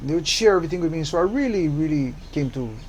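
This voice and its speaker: Speaking very fast with lively intonation and a fairly high pitch, a man is heard against audible room echo. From Hawaii, Oahu (Kalihi). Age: 70s. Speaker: community activist. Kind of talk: interview.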